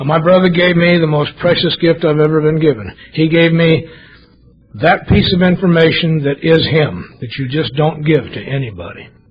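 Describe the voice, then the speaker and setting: With music playing underneath, a man talks at moderate speed, his fairly high voice rising and falling in an ordinary way. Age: 60s. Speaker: AA speaker. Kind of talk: testimony. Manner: animated.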